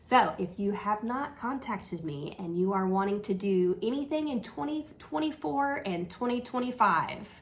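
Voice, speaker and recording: Her medium-pitched voice is somewhat breathy and swings very widely in pitch as this woman talks at a moderate pace with hardly any pauses. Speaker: travel agent. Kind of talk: casual news recap. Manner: animated.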